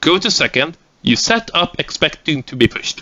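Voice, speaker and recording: This man has a fairly high voice with a Swedish accent. His pitch swings very widely. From Sweden. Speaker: gaming tactics instructor. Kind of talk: lecture. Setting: recorded seminar without audience.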